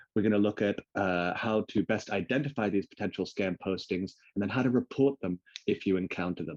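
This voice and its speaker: Speaking at a fairly quick pace, a man has a fairly low pitch and ordinary pitch variation, in a dry, close sound with no echo. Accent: English. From England. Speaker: webinar host and freelance graphic designer. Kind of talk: online webinar presentation. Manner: friendly, casual with filler words.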